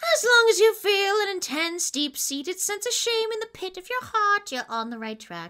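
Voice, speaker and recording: A woman performs a put-on character voice. Her pitch swings very widely. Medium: voice reel.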